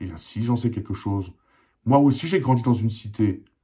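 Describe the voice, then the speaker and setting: A somewhat breathy man at a fairly quick pace, ordinary pitch variation, very clean recording with a silent background. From Alsace, eastern France (born in Poland, arrived as a child). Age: 40s. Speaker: independent journalist. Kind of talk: personal opinion monologue. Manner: impassioned, repetitive emphasis.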